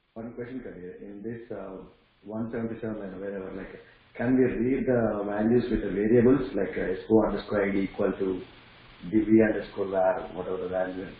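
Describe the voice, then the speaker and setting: A fairly low-pitched man at a fairly quick pace, with fairly even intonation and big swings in loudness, plus audible room echo and noticeable background noise. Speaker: student in training class. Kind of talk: question in online class. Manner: quiet.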